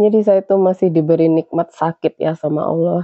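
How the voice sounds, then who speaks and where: The intonation is monotone and flat. It belongs to a woman. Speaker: domestic worker vlogger. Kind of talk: casual vlog chat. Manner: conversational, filler-heavy.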